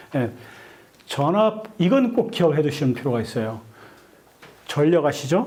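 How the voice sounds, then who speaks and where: Amid audible room echo, a man speaks at a fairly slow pace in a fairly high pitch, with very wide pitch swings and long, frequent pauses. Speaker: lecturer, online community leader. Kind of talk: lecture.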